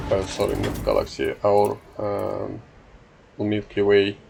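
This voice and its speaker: A man talks at a very slow pace while noticeable background noise carries on. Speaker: gaming YouTuber. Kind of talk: casual gameplay commentary. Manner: halting, many filler sounds.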